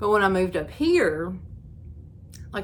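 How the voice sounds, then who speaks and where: In an Appalachian accent, a woman with a medium pitch speaks at a moderate pace, her voice making very wide pitch swings, with audible room echo around her. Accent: Appalachian Kentucky. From eastern Kentucky, Knott County (Appalachia). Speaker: crochet YouTuber. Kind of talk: casual chat. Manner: casual, filler-heavy.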